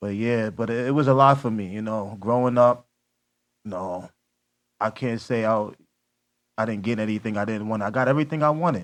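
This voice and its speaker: A man talks at a fairly quick clip, broken by long, frequent pauses. His pitch varies in an ordinary way over a quiet background. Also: medium pitch for a man. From Queens, New York. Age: 30s. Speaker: podcast guest, single father. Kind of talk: casual chat.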